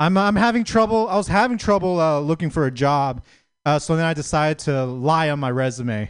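Against a quiet background, a man with an ordinary speaking voice talks at a fairly quick pace, his pitch fairly high and his intonation lively. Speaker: stand-up comedian. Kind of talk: stand-up comedy.

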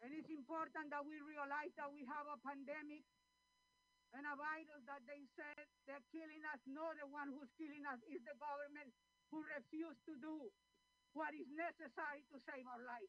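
A high-pitched woman's voice, flat and monotone, at a moderate pace. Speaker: activist. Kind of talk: rally speech. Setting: outdoors. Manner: fiery, indignant rhetorical questions.

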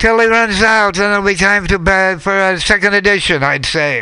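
A man speaks in a raised, projected voice. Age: 80s+. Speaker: radio co-host. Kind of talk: casual chat. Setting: studio.

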